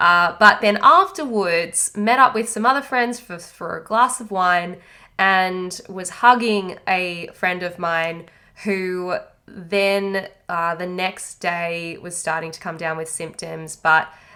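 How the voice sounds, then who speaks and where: A woman speaks very slowly with an Australian accent. Her tone is bright and sharp, at a medium pitch. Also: ordinary pitch variation. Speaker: podcast host and anxiety coach. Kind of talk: podcast monologue. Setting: home isolation. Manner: casual, halting.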